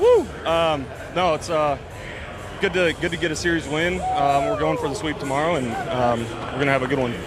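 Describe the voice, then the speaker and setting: A man's fairly high-pitched voice at a fairly quick pace with long, frequent pauses, audible room echo and music in the background. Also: ordinary pitch variation. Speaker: baseball relief pitcher. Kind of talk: postgame interview. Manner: halting, many fillers.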